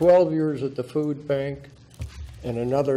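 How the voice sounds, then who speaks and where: A man speaks in a dark, mellow tone. The room echo is audible. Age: 80s+. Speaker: public commenter, veteran. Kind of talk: public testimony at council meeting. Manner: animated, confrontational.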